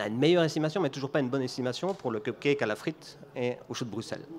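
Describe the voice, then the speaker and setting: Speaking with a Belgian accent, a man has a fairly high pitch and ordinary pitch variation. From Belgium. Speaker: business executive giving a conference talk. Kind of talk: conference talk.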